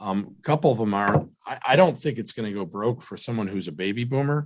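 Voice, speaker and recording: Speaking at a fairly quick pace, a man has a fairly low pitch and ordinary pitch variation. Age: 40s. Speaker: financial advisor. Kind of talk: radio show Q&A. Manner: halting, many fillers.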